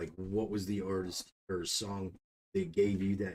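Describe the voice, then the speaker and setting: Somewhat breathy and fairly low in pitch, a man speaks with a dry, close sound and no echo. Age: 30s. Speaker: youtube interviewer and reactor. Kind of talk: casual interview.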